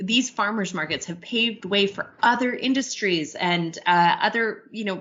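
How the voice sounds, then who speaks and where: An enthusiastic-sounding woman with a medium pitch, a moderate pace and lively intonation. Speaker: podcast co-host. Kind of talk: conversational news podcast.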